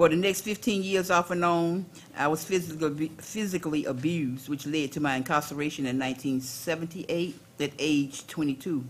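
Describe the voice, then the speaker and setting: Speaking at a fairly quick pace with a North Carolina accent, a woman uses a very deep, low pitch and ordinary pitch variation over noticeable background noise. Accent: Southern US (North Carolina). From US South, Durham, North Carolina. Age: 60s. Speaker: caregiver and organizer. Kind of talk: panel testimony. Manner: informal.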